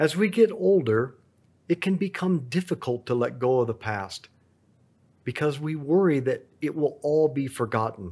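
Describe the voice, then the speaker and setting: A man speaks at a fairly high pitch and a moderate pace with a dark, mellow tone. His very wide pitch swings come through on a very clean recording with a silent background. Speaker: rosary meditation leader. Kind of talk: guided rosary prayer and meditation. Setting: on vacation, after a rodeo. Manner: fervent, reverent, devout.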